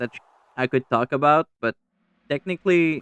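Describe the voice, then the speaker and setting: Dry and close with no echo, the recording has a man speaking with ordinary pitch variation. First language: French. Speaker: gaming YouTuber. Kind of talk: casual vlog commentary. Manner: halting, repeats words.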